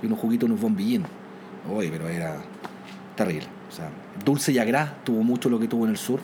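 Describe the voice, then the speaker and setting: A man with a Chilean accent talks at a very fast pace in a medium pitch, with lively intonation and long, frequent pauses. Noticeable background noise and audible room echo fill the recording. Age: 40s. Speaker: airline captain and former air force pilot. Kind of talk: interview storytelling.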